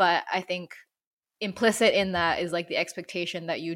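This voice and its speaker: A woman talks in an unremarkable speaking voice. Her intonation stays fairly even. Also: very clean recording, silent background. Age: 30s. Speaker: podcast co-host. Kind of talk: casual chat.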